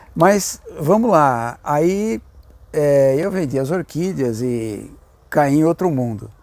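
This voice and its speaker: A man with a fairly high pitch and lively intonation, speaking at a very slow pace. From São Paulo ABC region, Brazil. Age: 70s. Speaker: orchid grower. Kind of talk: interview. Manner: hesitant, many fillers.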